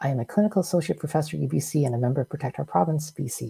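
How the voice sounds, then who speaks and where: Her voice has a dark, mellow tone with vocal fry. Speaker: physician host. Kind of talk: formal briefing introduction. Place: home room.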